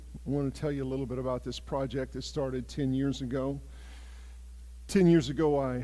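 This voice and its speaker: Talking at a fairly quick pace with long, frequent pauses, a man with an American accent is heard through audible room echo. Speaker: ministry project leader. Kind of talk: church presentation. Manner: loud.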